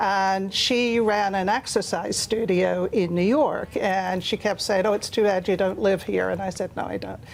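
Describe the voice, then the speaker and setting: With hardly any pauses, a woman speaks at a moderate pace and with fairly even intonation on a very clean recording with a silent background. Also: medium pitch for a woman. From Ireland. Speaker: author. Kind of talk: TV interview.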